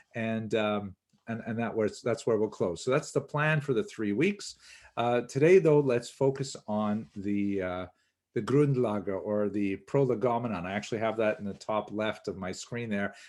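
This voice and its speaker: In an ordinary speaking voice, a man with a Canadian accent talks at a moderate pace and medium pitch, with ordinary pitch variation over a quiet background. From Canada. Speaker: history lecturer. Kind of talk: lecture. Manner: frequent fillers, uh and um.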